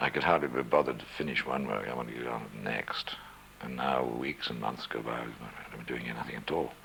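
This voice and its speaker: Over noticeable background noise, a man with a very deep, low pitch speaks at a fairly quick pace with fairly even intonation. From Scotland. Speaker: poet, former radio news reader. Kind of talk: interview answer.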